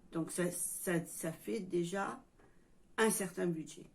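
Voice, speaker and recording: A woman's fairly low voice comes through somewhat breathy. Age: 60s. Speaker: YouTuber, retiree. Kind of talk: casual vlog monologue. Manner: halting.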